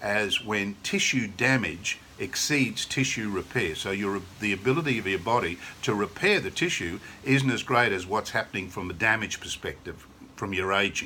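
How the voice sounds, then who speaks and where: An enthusiastic, bright, sharp tone with an Australian accent at a moderate pace. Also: man. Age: 60s. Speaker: sales representative. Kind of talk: sales pitch. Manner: casual, conversational.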